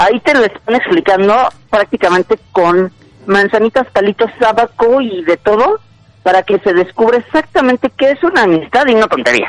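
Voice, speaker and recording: At a moderate pace, a man speaks at a high pitch with lively intonation and very even loudness, in a dry, close sound with no echo. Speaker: film commentator. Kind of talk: casual chat. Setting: outdoors.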